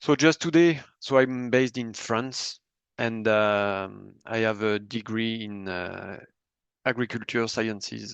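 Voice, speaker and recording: The pace here is very slow, with ordinary pitch variation. The speaker has a French accent. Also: man, medium pitch for a man. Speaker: bee health researcher presenting products. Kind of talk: webinar presentation. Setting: online webinar, screen sharing.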